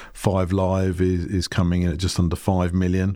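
On a very clean recording with a silent background, the speaker talks in a British accent at a fairly slow pace with fairly even intonation. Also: man. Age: 50s. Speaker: marketing company CEO. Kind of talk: podcast interview.

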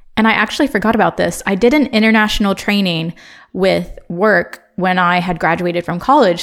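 A woman with a Midwestern accent speaks at a moderate pace in a medium pitch, her pitch varying in an ordinary way, on a very clean recording with a silent background. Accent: American Midwestern. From Ohio, US Midwest. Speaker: podcast host. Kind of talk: casual monologue. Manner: casual, chatty.

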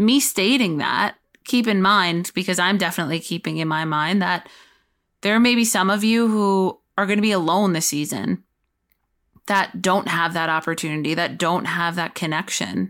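On a very clean recording with a silent background, a woman with a plain, everyday voice speaks at a moderate pace and medium pitch, with ordinary pitch variation. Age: 30s. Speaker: mental health podcast host. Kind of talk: solo podcast monologue.

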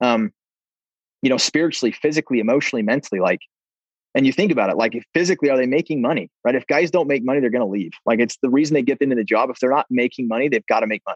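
A man with an American accent speaks very fast at a medium pitch, with ordinary pitch variation and a dry, close sound free of echo. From US Mountain West, Preston, Idaho. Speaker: sales leader. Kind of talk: interview.

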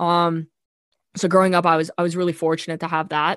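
A woman's fairly low voice at a fairly quick pace, fairly even in intonation, with a dry, close sound with no echo and a quiet background. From Canada. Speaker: hockey analytics researcher and scout. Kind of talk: casual interview.

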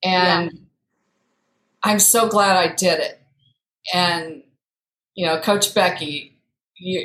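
A woman's medium-pitched voice in a Midwestern US accent, with fairly even intonation. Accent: US Midwest. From Iowa. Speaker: coaching client. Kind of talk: casual chat.

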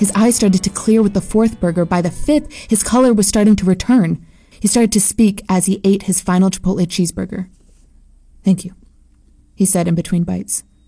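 Somewhat breathy and dark, mellow in tone, a woman speaks at a fairly quick pace in a medium pitch with ordinary pitch variation. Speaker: narrator. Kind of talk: dramatic horror narration, first person. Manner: tense, hushed, building dread.

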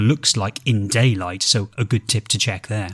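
His voice comes across as somewhat breathy. It belongs to a man. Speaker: podcast host and artist. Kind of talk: casual conversational podcast discussion. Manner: halting, hesitant with filler words.

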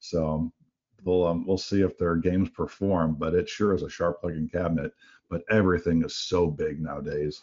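A man speaks with a very deep, low pitch and monotone, flat intonation. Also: moderate pace. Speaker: slot analytics executive. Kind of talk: business podcast discussion. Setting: remote call.

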